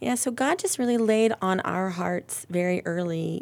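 A normal speaking voice with an American accent, at a moderate pace with ordinary pitch variation. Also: woman. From Ohio, Akron area. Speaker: church member sharing faith story. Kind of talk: testimony.

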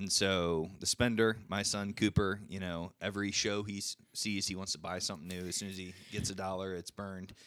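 On a very clean recording with a silent background, a man speaks in a very deep, low pitch. His delivery is monotone and flat, fairly quick, with hardly any pauses. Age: 40s. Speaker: guest speaking on personal finances. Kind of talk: casual chat. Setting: studio.

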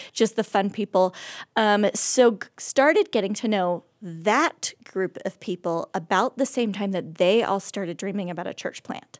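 Woman with an American accent at a medium pitch, ordinary pitch variation and a moderate pace, in a dry, close sound with no echo. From Oregon, US Pacific Northwest. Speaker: church member sharing life story. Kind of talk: casual interview testimony.

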